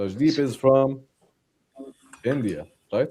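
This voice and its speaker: The voice has a dark, mellow tone and an Arabic accent. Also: man. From Jordan. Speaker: trader. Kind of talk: live trading session.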